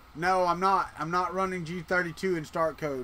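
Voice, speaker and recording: A man with a Southern US accent speaks at a high pitch and a fairly slow pace. His tone is bright and sharp, and his intonation stays fairly even. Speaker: 3D printing live streamer. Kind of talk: casual live stream chat. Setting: live stream. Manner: casual, conversational.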